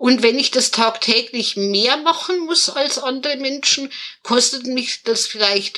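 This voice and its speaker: Raising and projecting her voice, a woman speaks fairly slowly at a high pitch with ordinary pitch variation. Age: 30s. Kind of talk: interview. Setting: video call.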